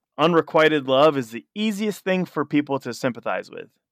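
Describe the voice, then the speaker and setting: Recorded very cleanly against a silent background, a man with an unremarkable speaking voice and fairly high pitch talks at a moderate pace with lively intonation. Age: 30s. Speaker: punk musician. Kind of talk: casual chat.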